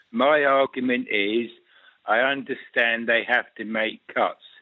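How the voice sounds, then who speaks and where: Fairly slow speech in a monotone, flat intonation. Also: man. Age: 60s. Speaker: caller. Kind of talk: radio phone-in call.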